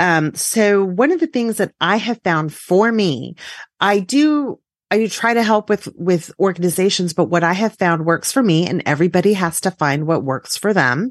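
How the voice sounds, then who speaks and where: In a plain, everyday voice with an American accent, the speaker talks at a moderate pace with lively intonation, the sound dry and close with no echo against a quiet background. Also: woman, medium pitch for a woman, very even loudness. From South Texas. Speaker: podcast host and writer, former librarian. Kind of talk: casual interview chat.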